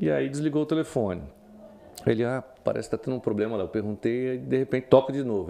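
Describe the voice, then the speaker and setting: The speaker is a man. His tone is dark and mellow. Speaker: journalist. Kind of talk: interview. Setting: studio.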